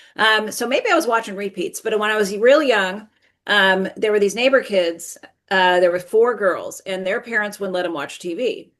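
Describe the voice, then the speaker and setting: In an unremarkable speaking voice, a woman keeps a medium pitch and moderate pace, her pitch varying in an ordinary way. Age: 60s. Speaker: toy merchandising professional. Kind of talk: casual interview chat.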